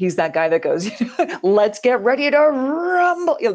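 A woman with a Canadian accent and lively intonation over a quiet background. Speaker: voiceover artist. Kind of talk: interview. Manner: clear, polished diction.

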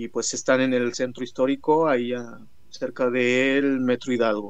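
A man speaks at a fairly slow pace with a medium pitch. His intonation is monotone and flat. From Mixteca Alta, Oaxaca, Mexico. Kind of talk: interview.

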